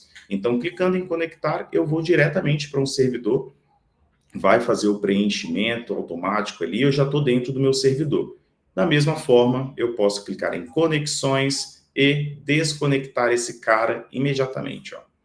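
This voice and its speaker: Fairly high male speech at moderate speed, a normal speaking voice with ordinary pitch variation. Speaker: software product demonstrator. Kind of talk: webinar product demo.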